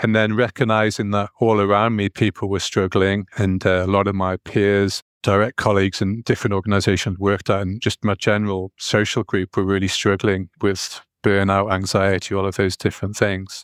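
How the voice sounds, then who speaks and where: A man with a northeast English accent, a fairly low pitch, monotone and flat intonation and a fairly quick pace, in a dry, close sound with no echo. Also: hardly any pauses, quiet background. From northeast England. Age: 40s. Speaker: performance psychology coach and hypnotherapist. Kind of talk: casual interview conversation.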